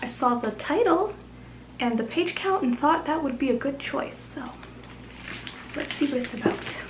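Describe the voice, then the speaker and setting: Quiet and mumbling, a woman with a high pitch and lively intonation talks at a moderate pace with long, frequent pauses amid noticeable background noise and audible room echo. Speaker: booktuber. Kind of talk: casual vlog. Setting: at home late at night.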